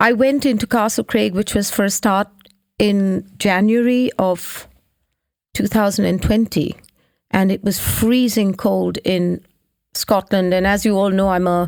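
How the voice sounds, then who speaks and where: Speaking at a fairly slow pace, a woman with a medium pitch and very even loudness has an unremarkable speaking voice. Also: fairly even intonation. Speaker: singer-songwriter and presenter, co-host. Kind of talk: casual chat. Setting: studio.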